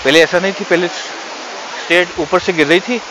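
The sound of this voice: Over clear background noise, a man with a high pitch speaks at a moderate pace with ordinary pitch variation.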